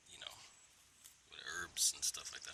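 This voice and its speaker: A man whispers over noticeable background noise. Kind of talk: casual talk to camera. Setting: outdoors.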